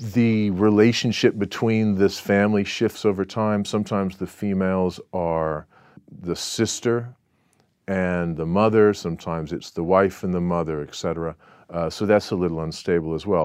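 Against a quiet background, a man with an American accent speaks at a moderate pace in a very deep, low voice with fairly even intonation. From Southern California. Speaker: author and researcher. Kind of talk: interview. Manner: halting, many fillers and restarts.

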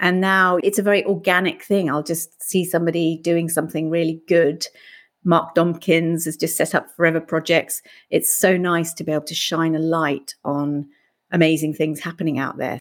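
In a British accent, a woman speaks at a moderate pace with a fairly low pitch and monotone, flat intonation on a very clean recording with a silent background. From UK. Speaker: life coach and podcast host. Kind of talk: interview.

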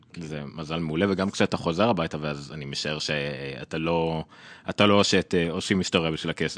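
At a fairly quick pace, a man with a very deep, low pitch speaks with fairly even intonation in a dry, close sound with no echo. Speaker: tech podcast host. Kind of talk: casual interview chat.

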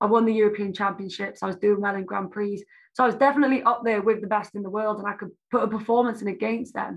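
Here a woman talks very fast in a South Welsh accent. Her medium pitch stays in a monotone, flat intonation. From South Wales. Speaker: Olympic taekwondo athlete. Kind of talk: interview.

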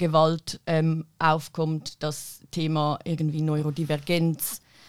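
On a very clean recording with a silent background, a woman speaks in a very deep, low voice with monotone, flat intonation. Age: 20s. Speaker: activist and political science student. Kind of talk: panel discussion. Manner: hesitant with many fillers.

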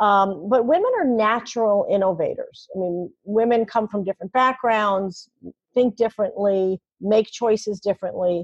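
In an American accent, a woman talks at a moderate pace with a fairly high pitch and ordinary pitch variation, recorded dry and close with no echo. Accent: New York edge, shows more when tired. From New York City. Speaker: podcast host and communications leader. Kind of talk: interview conversation.

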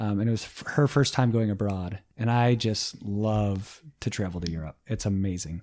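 In a very clean recording with a silent background, a man with an American accent talks at a moderate pace with hardly any pauses, his fairly low voice dark and mellow, his pitch varying in an ordinary way. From South Dakota (Sioux Falls), later Michigan. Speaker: podcast guest. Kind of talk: casual chat.

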